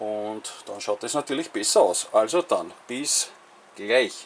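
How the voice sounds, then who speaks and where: A man speaks with a Viennese accent. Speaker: model railway hobbyist. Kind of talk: casual talk to camera.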